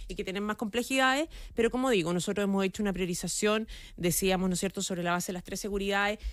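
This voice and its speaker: At a very fast pace, a woman talks at medium pitch with ordinary pitch variation. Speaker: government minister. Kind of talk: radio interview.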